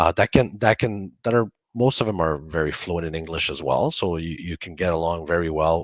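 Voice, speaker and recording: A man speaks at a moderate pace with a very deep, low pitch and ordinary pitch variation, hardly pausing. The sound is dry and close with no echo, over a quiet background. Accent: Franco-Ontarian. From Northern Ontario, Canada. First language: French. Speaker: college campus director. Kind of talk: online info session Q&A.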